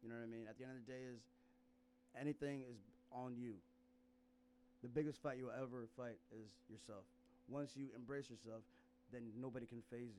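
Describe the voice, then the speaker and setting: Medium-pitched and dark, mellow in tone, a man speaks at a fairly quick pace with fairly even intonation and long, frequent pauses. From US Midwest (Sioux Falls, South Dakota), born in South Sudan. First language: Nuer. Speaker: stand-up comedian. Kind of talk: casual chat. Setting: studio.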